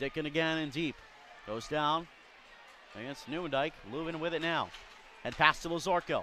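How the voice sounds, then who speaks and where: Upbeat and bright, sharp in tone, a man speaks at a fairly high pitch with long, frequent pauses. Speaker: hockey play-by-play announcer. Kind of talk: live commentary. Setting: arena at a hockey game. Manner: fast-paced, play-by-play delivery that rises in pitch and energy on goals; upbeat and clipped, rattling off names and plays.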